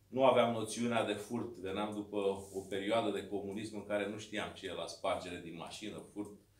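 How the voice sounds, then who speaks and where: A man speaks at a moderate pace and a fairly low pitch, with monotone, flat intonation. His loudness swings widely, and room echo is audible. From Romania, Dâmbovița county (Braniștea, rural); Romania. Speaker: mayor and political candidate; mayor, candidate. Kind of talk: campaign speech. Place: meeting room. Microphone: camera far.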